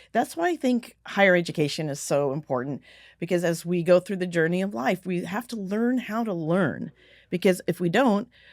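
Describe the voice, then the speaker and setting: In a very clean recording with a silent background, a woman with an ordinary speaking voice talks at a moderate pace, fairly low in pitch, with lively intonation. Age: 60s. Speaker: business author and communicator. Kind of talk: interview conversation.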